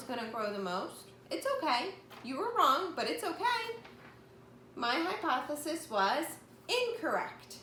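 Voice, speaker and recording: A woman projects a raised voice at an extremely high pitch with very wide pitch swings, speaking fairly slowly amid audible room echo and noticeable background noise. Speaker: elementary school teacher. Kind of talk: remote lesson for young children.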